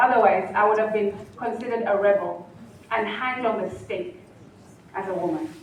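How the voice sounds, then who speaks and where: Over noticeable background noise, a woman speaks at a moderate pace with a fairly high pitch and ordinary pitch variation. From Kenya. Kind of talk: public speech at a colloquium.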